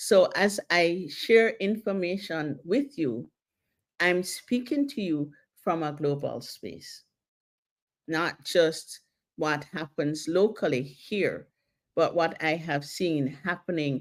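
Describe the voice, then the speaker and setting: A woman speaks at a very slow pace with lively intonation. Her pitch sits fairly low. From Jamaica. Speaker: counsellor / therapist. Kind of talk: talk / seminar on mental health.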